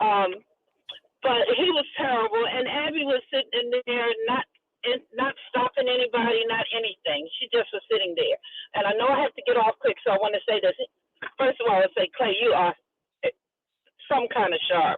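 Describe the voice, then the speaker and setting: Over music in the background, a woman with a high pitch talks at a moderate pace with long, frequent pauses and ordinary pitch variation. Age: 70s. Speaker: caller. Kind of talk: phone-in call. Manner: animated.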